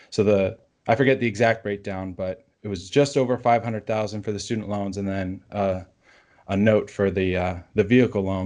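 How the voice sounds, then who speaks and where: Over a quiet background, a man with an unremarkable speaking voice talks at a moderate pace, pitched fairly low with fairly even intonation. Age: 30s. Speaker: personal finance blogger. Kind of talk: interview.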